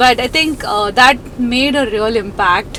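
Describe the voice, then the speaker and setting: Ordinary pitch variation in a woman's speech, with noticeable background noise behind it. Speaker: information security executive. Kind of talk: interview. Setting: outdoors.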